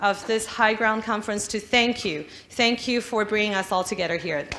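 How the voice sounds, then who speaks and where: A woman's fairly high voice with a non-native accent and ordinary pitch variation, amid audible room echo and noticeable background noise. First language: not English. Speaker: politician. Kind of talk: conference speech.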